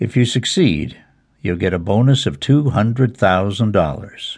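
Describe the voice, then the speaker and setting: Fairly slow and somewhat breathy, a man speaks at a fairly low pitch in a dramatic, menacing tone. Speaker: audiobook narrator. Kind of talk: dramatic audiobook narration of a legal thriller, reading aloud. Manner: wry, cynical inner-monologue delivery with a sardonic edge.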